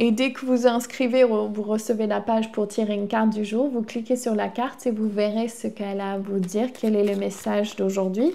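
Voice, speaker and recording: A woman speaks at a fairly high pitch and a moderate pace. She hardly pauses, and her intonation is fairly even. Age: 40s. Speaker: spiritual healer and tarot reader; tarot reader. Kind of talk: oracle card reading; guided healing session. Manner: casual, hesitant with frequent fillers. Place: home room. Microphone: lapel.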